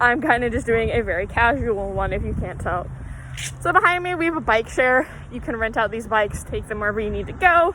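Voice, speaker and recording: Noticeable background noise sits under a woman's fairly high voice. She speaks at a fairly quick pace with very wide pitch swings. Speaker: college student. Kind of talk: casual campus tour. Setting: outdoors, walking. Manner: casual, filler-heavy.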